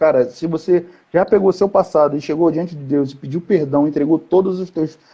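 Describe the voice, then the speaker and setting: This man talks at a fairly quick pace. His pitch sits fairly high. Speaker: youth conference preacher. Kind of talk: sermon. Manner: fast; animated.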